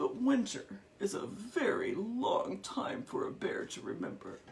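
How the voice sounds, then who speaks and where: At a moderate pace, someone speaks in a high-pitched, put-on character voice. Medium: read story. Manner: gentle, sleepy.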